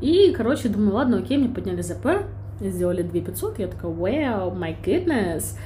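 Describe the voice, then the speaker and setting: A woman speaks in an animated tone at a moderate pace, with long, frequent pauses and audible room echo. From Ukraine, Kyiv. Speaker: podcast co-host. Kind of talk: casual chat.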